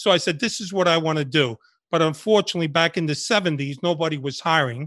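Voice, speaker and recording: A man's fairly high, bright, sharp voice at a very fast pace, with ordinary pitch variation against a quiet background. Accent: New York. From New York City (Washington Heights, Bronx), born in Cuba. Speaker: retired undercover FBI agent. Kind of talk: interview.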